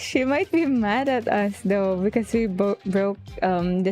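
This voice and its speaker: Over music in the background, a woman with a medium pitch speaks at a fairly slow pace with ordinary pitch variation. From Philippines. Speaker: streamer. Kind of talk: casual live-stream talk while gaming.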